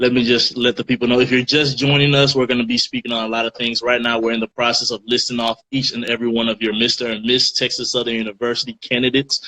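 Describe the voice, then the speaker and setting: In a slight African accent, a medium-pitched man speaks very fast in a flat monotone with hardly any pauses, the sound dry and close with no echo. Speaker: student radio host. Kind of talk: casual chat. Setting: Instagram live stream.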